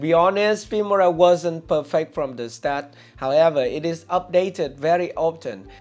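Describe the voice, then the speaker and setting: A man speaks at a high pitch with ordinary pitch variation. Faint music plays in the background. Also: moderate pace. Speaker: video creator. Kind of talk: tutorial. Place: studio. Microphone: lapel.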